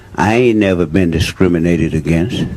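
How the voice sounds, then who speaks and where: A man with an American accent talks fairly quickly in a very deep, low voice with ordinary pitch variation. Noticeable background noise runs underneath. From Louisiana. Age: 60s. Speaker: audience member. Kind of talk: heated debate. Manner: animated.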